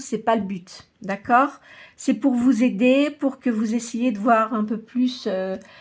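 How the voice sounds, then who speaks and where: In a very clean recording with a silent background, a woman speaks at a very slow pace in a fairly high pitch, with fairly even intonation and big swings in loudness. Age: 60s. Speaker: tarot reader and medium. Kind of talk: tarot reading monologue. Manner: hesitant, many filler sounds.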